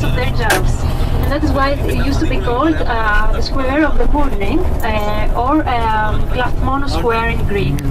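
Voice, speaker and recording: A woman speaks at a fairly slow pace over loud background noise. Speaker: tour guide. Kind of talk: tour guide commentary. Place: bus.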